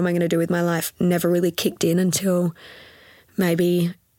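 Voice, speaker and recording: Speaking with an Australian accent, a woman holds a medium pitch in a monotone, flat delivery. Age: 20s. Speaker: pilates studio owner, retired physio. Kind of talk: casual interview chat. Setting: podcast recording.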